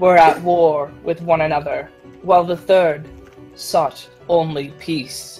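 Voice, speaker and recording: Putting on a character voice, a woman booms at a fairly low pitch with monotone, flat intonation. She goes at a fairly slow pace while faint music plays in the background. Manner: loud, dramatic.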